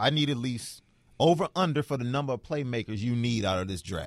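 In an animated tone with lively intonation, a man speaks on a very clean recording with a silent background. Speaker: radio sports podcast co-host. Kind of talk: casual sports talk. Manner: animated, opinionated.

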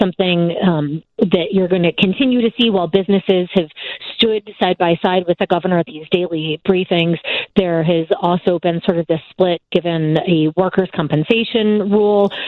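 A woman talks in a normal speaking voice at a medium pitch. Her pace is moderate and her intonation fairly even. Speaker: TV news correspondent. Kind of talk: radio interview.

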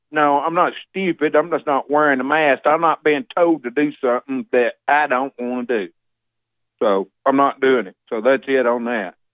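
This man speaks with a Southern US accent at a moderate pace. His pitch is fairly high, with ordinary variation. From Alabama. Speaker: caller. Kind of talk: casual chat. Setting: phone call.

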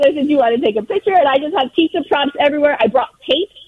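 Over noticeable background noise, a woman with an American accent talks in an animated tone with very wide pitch swings. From Southern California. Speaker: world record holder, pizza collector. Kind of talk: interview.

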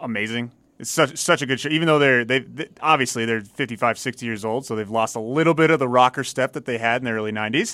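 In a very clean recording with a silent background, a man speaks very fast at medium pitch with ordinary pitch variation, a bright, sharp tone, and hardly any pauses. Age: 30s. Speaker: celebrity picker. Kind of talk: casual chat.

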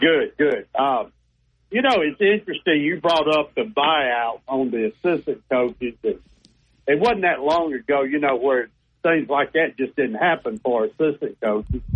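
In a normal speaking voice, a man with a fairly high pitch talks fairly slowly, his intonation lively and his loudness very even. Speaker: caller. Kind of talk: casual chat. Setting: phone call.

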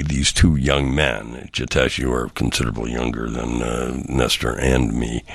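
Speaking with an American accent, a man uses a very deep, low pitch with vocal fry, at a moderate pace with hardly any pauses. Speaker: radio host. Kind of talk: casual interview. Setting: studio.

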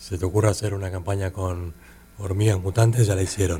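A man with a Rioplatense accent, a very deep, low pitch, a dark, mellow and somewhat breathy tone, a moderate pace and monotone, flat intonation. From Argentina, Buenos Aires. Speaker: artist and advertising creative. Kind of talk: interview. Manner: halting, many repetitions and fillers.

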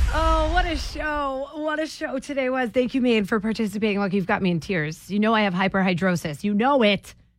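Over music in the background, a woman with a fairly high pitch talks at a fairly quick pace with very wide pitch swings and hardly any pauses. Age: 30s. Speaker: radio host. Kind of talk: morning radio call-in show. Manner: animated.

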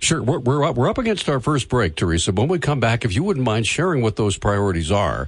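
A man's medium-pitched voice with vocal fry, very wide pitch swings and very even loudness, at a very fast pace with hardly any pauses. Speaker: radio host. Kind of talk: live radio talk show with callers. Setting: radio studio.

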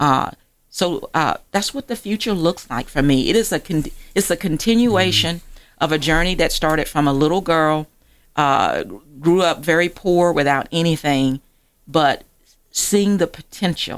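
Delivered at a moderate pace in an American accent, this is an unremarkable speaking voice with ordinary pitch variation. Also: woman, fairly low pitch for a woman. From Georgia, US South (rural area near Augusta). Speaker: magazine publisher and author. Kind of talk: radio interview.

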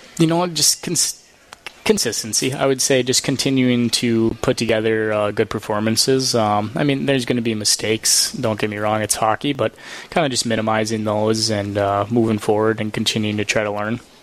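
A man at a fairly quick pace, his intonation fairly even, with noticeable background noise. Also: medium pitch for a man. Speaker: pro hockey player. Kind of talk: postgame interview. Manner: hesitant, filler-heavy.

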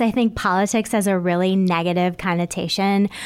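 A woman with an ordinary speaking voice talks at a medium pitch and moderate pace, with ordinary pitch variation. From Michigan (Bay City). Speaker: mayoral candidate and lawyer. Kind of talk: radio interview.

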